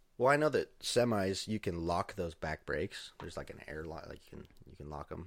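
A man with an American accent speaks at a fairly quick pace with hardly any pauses, his very deep, low pitch carrying lively intonation and big swings in loudness on a very clean recording with a silent background. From Idaho. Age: 20s. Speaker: podcast guest, roommate of host. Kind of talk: casual chat.

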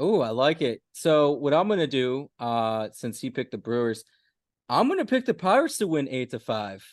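A man with a plain, everyday voice speaks at a moderate pace in a fairly high pitch with lively intonation, the sound dry and close with no echo over a quiet background. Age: 20s.

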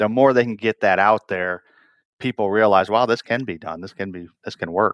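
A man's normal speaking voice with an American accent, fairly low in pitch and fairly quick, with fairly even intonation, in a very clean, dry, close recording with no echo and a silent background. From northern Michigan, rural. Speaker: plastics manufacturing executive. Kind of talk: interview conversation.

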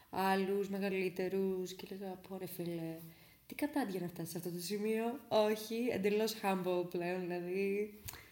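A woman's medium-pitched voice, fairly slow and fairly even in intonation, over noticeable background noise. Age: 20s. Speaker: podcaster. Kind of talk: casual storytelling monologue. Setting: at home.

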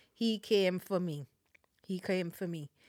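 A woman speaks with a Caribbean accent at a fairly slow pace. Her pitch is medium with ordinary variation, on a very clean recording with a silent background. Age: 40s. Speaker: Salvation Army officer. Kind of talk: testimony.

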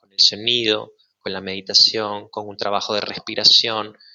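A man is speaking. His pace is fairly slow. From Venezuela, Maracay. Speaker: sound healer, former actor. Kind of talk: casual chat.

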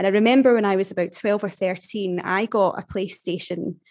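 A woman talks at a medium pitch with a Glaswegian accent. The background is quiet. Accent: Glaswegian Scottish. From Scotland, Glasgow area. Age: 30s. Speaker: human resources professional. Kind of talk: casual interview chat.

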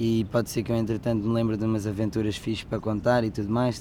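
A man's dark, mellow voice with a European Portuguese accent. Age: 20s. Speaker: travel podcaster. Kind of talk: casual monologue. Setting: outdoors under a sunshade. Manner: animated.

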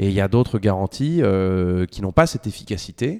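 Moderate-paced speech from a man, on a very clean recording with a silent background. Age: 30s. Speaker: fintech co-founder, lawyer by training. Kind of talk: interview. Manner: hesitant, many fillers.

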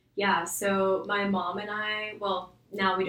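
A woman of medium pitch talks against noticeable background noise. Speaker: young adult church group member. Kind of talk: casual chat.

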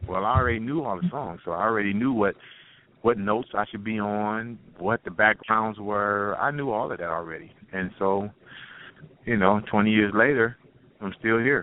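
A man's fairly low voice with an American accent, moderate pace and ordinary pitch variation. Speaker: singer in a vocal group. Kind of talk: interview. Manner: halting.

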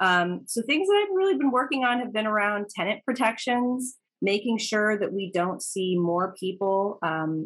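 A woman's normal speaking voice with an American accent, moderate pace and ordinary pitch variation. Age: 30s. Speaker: local politician. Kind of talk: interview.

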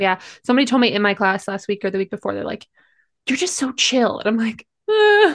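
Against a quiet background, a woman with an ordinary speaking voice and an American accent talks at a fairly quick pace, her pitch fairly high and varying in an ordinary way. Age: 20s. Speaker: professor and podcast co-host. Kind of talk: casual chat.

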